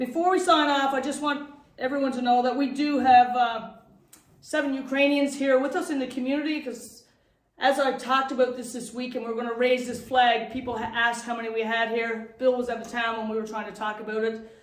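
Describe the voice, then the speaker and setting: A woman speaks at a fairly quick pace in a high pitch. Her intonation is fairly even, and the room echo is audible. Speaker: town mayor. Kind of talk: reading aloud a proclamation; public address.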